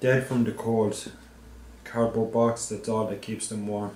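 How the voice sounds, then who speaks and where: A man with an Irish accent speaks at a medium pitch and a fairly slow pace, his intonation monotone and flat. There is audible room echo and light background noise. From Ireland. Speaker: anti-poverty activist. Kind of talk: poetry reading. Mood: earnest, appealing. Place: office.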